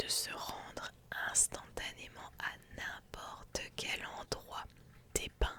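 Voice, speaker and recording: Whispering in a calm tone at a very slow pace, a woman is heard over noticeable background noise. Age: 20s. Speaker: ASMR streamer. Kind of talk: ASMR lore reading, relaxation. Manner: soft, calm, relaxing.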